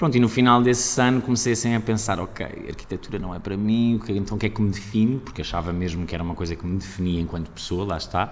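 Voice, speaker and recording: A man rattles along at a very fast pace with hardly any pauses. His pitch is fairly low. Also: ordinary pitch variation. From Portugal, Aveiro. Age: 30s. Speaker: actor. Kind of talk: casual chat.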